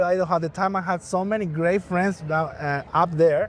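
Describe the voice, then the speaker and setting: Someone speaks at a fairly quick pace with a Spanish accent. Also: man. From Bolivia. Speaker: musician and event emcee. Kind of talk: interview.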